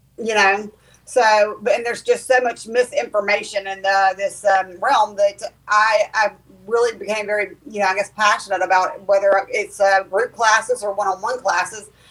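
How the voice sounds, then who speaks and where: A woman speaks at a moderate pace in a Southern US accent, her pitch medium and her intonation fairly even. Background noise is noticeable. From US South. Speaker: clairvoyant medium and teacher. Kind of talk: casual interview chat. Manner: hesitant, many ums.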